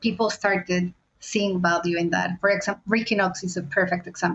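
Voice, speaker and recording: A woman with a non-native accent talks at a fairly quick pace and a medium pitch. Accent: foreign, non-British. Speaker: fintech product leader. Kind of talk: interview conversation.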